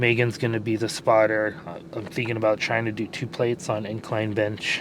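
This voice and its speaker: A man talks at a fairly quick pace in a fairly low pitch. His intonation is monotone and flat, and background noise is noticeable. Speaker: fitness vlogger. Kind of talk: casual vlog chat.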